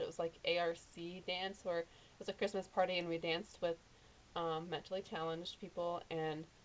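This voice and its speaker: In an American accent, a woman talks at a fairly low pitch with monotone, flat intonation. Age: 20s. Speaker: vlogger. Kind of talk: casual vlog. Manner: fast; jittery.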